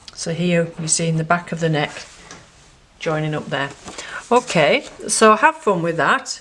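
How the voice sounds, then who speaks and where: A woman speaks at a fairly slow pace in a fairly low voice with ordinary pitch variation. Long, frequent pauses break her speech, and noticeable background noise is present. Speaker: art tutor. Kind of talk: tutorial.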